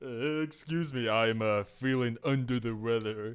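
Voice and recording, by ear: A man uses a put-on character voice. He speaks at a medium pitch and a moderate pace.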